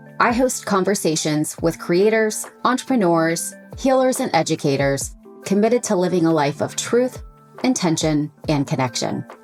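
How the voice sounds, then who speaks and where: Over music in the background, a woman talks at a moderate pace in a fairly low voice, her pitch swinging very widely while her loudness stays very even. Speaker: podcast host, lifestyle coach. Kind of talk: podcast intro.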